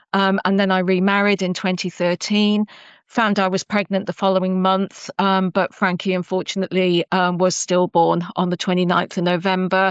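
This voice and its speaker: Against a quiet background, a woman with an English accent speaks at a moderate pace, in a monotone, flat intonation and at very even loudness. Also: medium pitch for a woman, dry, close sound with no echo. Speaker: cybersecurity professional. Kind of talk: interview. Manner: hesitant, many fillers.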